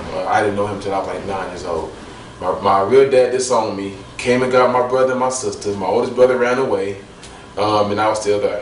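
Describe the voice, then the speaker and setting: A man with an American accent and medium pitch, at a fairly quick pace with fairly even intonation, amid noticeable background noise and audible room echo. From US Midwest, Washington Park, Illinois. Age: 20s. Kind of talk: testimony. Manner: halting, many fillers and repeats.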